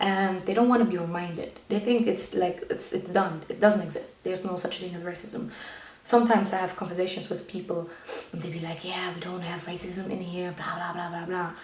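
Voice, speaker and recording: Through audible room echo and noticeable background noise, a woman speaks at a fairly quick pace with fairly even intonation and big swings in loudness. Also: medium pitch for a woman. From Germany. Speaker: YouTuber. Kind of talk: personal vlog monologue.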